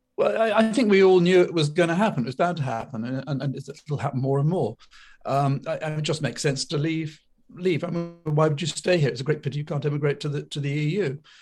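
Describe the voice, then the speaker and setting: With music in the background, a man speaks very fast in a fairly high pitch with ordinary pitch variation. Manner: halting, hesitant.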